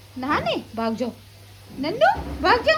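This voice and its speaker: A woman with a high voice talks at a moderate pace while noticeable background noise carries on. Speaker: mom vlogger. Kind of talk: vlog voice-over. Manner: humorous, chatty.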